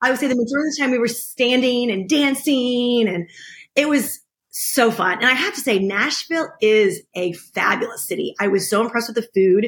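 This woman has an American accent and a high pitch. She talks at a fairly quick pace with lively intonation. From United States. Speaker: podcast co-host. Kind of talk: casual chat.

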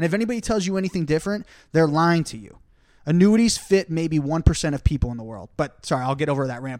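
A man's ordinary speaking voice at a fairly high pitch, lively in intonation, on a very clean recording with a silent background. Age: 20s. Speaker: financial advisor and podcast host. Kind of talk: casual chat.

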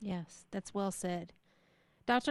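With an American accent, a woman speaks fairly slowly at a medium pitch, in a normal speaking voice with ordinary pitch variation. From Texas. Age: 40s. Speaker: radio host. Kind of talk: interview.

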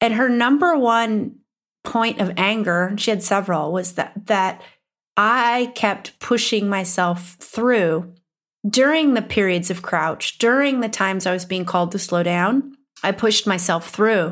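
On a very clean recording with a silent background, a woman with an Upper Midwestern US accent speaks at a medium pitch and a fairly slow pace, with ordinary pitch variation. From US Midwest. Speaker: business coach and podcast host. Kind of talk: solo podcast monologue.

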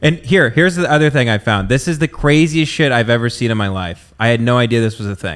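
A man with an American accent talks at a very fast pace with hardly any pauses. His intonation is lively. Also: medium pitch for a man. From US South. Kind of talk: casual chat.

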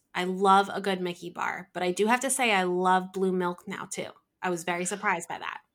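Speaking with a New Jersey accent, a woman keeps her intonation fairly even. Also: medium pitch for a woman, fairly quick pace, very clean recording, silent background. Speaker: craft business owner, artist. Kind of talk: casual interview chat.

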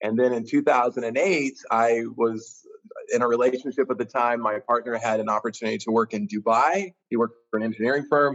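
A man speaks at a fairly quick pace and medium pitch, with ordinary pitch variation. His is a normal speaking voice. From US Midwest, central Kansas. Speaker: tourism bureau executive. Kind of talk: interview.

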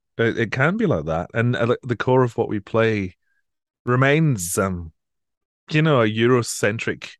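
Against a quiet background, a man speaks in a Scottish accent with ordinary pitch variation. The sound is dry and close, with no echo. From Scotland, Edinburgh area. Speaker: classical radio presenter. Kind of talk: interview.

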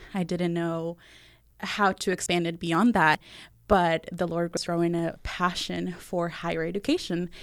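On a very clean recording with a silent background, a woman speaks fairly slowly in a fairly low, monotone, flat voice. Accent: Spanish. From Venezuela (Valencia). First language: Spanish. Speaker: college student life director. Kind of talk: interview conversation.

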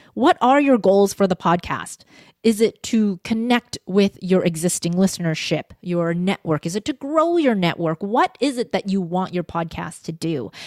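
A normal speaking voice with a Canadian accent moves at a moderate pace with hardly any pauses and lively intonation. The recording is very clean, with a silent background. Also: woman, medium pitch for a woman, dry, close sound with no echo. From Canada, Vancouver. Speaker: voice coach and podcast strategist. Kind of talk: interview. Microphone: podcast microphone close-pickup.

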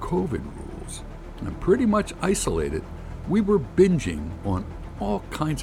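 This is a natural reading voice. It carries through the whole clip.

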